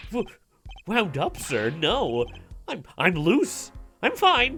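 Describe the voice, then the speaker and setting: Using a put-on character voice, a man projects loudly at a high pitch with very wide pitch swings. He goes at a very slow pace, with faint music in the background. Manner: tense, flustered, stammering.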